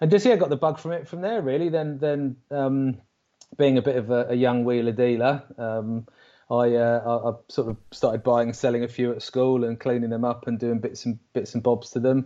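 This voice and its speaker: Delivered at a moderate pace with ordinary pitch variation, the voice has a dark, mellow tone and an English accent. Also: man, medium pitch for a man. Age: 40s. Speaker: RC car racing driver. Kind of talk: casual chat. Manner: halting.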